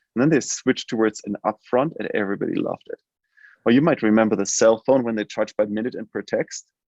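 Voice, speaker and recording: A man with a German accent at a very fast pace, medium in pitch, with ordinary pitch variation. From Germany. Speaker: healthcare tech company CEO. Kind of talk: interview. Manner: halting, many fillers.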